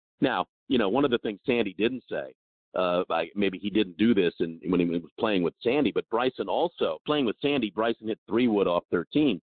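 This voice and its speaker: Here is a plain, everyday voice with lively intonation. The pace is moderate. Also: man, medium pitch for a man. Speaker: golf radio show host. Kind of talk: casual interview chat.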